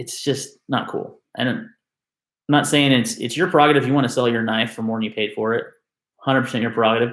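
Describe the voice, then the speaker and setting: Very fast and with fairly even intonation, a man speaks at a medium pitch. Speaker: knife enthusiast youtuber. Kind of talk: live stream rant. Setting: live stream on webcam. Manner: loud.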